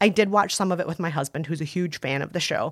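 With an American accent, a woman speaks in an ordinary speaking voice at a medium pitch, her intonation lively. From US Midwest (Scandinavian area). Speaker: culture critic and podcast co-host. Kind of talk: casual advice chat with film recommendations. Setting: studio.

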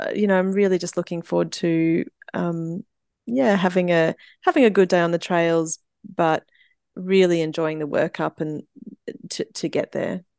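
A dark, mellow tone at a fairly slow pace, with ordinary pitch variation, dry close sound with no echo and a quiet background. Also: woman. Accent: Australian. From Brisbane, Queensland, Australia. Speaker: amateur trail runner. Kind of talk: interview. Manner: halting, many fillers.

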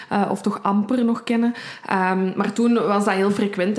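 A woman's medium-pitched voice at a fairly quick pace, over noticeable background noise. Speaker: true crime podcast co-host. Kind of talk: casual true crime storytelling.

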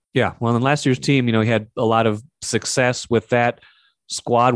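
At a fairly quick pace, a man talks in an ordinary speaking voice at a medium pitch, with a dry, close sound and no echo. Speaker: sports podcast host. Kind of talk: casual sports talk show with interviews.

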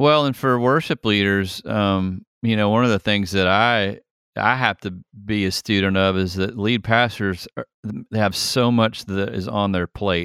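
A man's unremarkable speaking voice with an American accent, fairly low in pitch, at a fairly slow pace with ordinary pitch variation, dry and close with no echo, on a very clean recording with a silent background. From US South, Atlanta, Georgia. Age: 50s. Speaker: worship leader. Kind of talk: casual chat.

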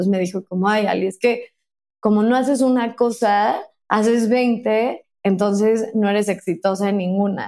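A woman's fairly high, dark and mellow voice, with fairly even intonation at a moderate pace. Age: 30s. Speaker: author and podcaster. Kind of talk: casual interview. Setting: remote recording from home.

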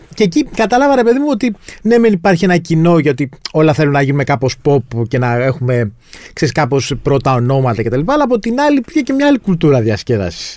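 Here a man talks at a fairly quick pace. His pitch swings very widely while his loudness stays very even. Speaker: podcast host, journalist. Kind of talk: podcast interview.

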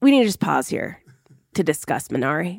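Vocal fry from a woman at a moderate pace, with very wide pitch swings. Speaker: journalist. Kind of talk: roundtable discussion.

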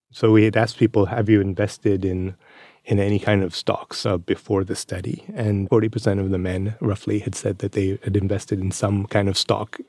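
A man speaks fairly quickly in a fairly low pitch, with a dark, mellow tone and monotone, flat intonation. The recording is very clean with a silent background and a dry, close sound with no echo. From India and industrial Scotland. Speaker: economics professor. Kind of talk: interview.

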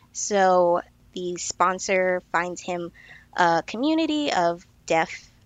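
A woman's unremarkable speaking voice, medium in pitch, with lively intonation. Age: 30s. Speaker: nutrition consultant. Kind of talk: casual chat.

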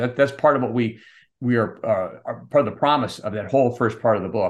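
A man speaks at a fairly quick pace in a normal speaking voice, medium in pitch with ordinary pitch variation, over a quiet background. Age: 50s. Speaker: company CEO and author. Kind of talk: short prepared talk; interview.

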